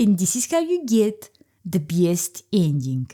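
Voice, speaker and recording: A woman with a strong Eastern European accent speaks over music in the background. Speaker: gaming YouTuber. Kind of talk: comedic video game commentary narration.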